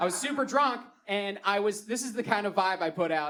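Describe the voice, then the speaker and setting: At a moderate pace, a man speaks in a high voice with lively intonation and a Baltimore accent. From Baltimore, Maryland. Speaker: comedian. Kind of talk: stand-up. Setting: stage with audience.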